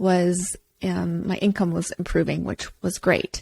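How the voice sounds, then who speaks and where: Dry and close with no echo, a woman's dark, mellow voice at medium pitch comes through on a very clean recording with a silent background. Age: 40s. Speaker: personal trainer and podcast host. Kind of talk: casual podcast monologue.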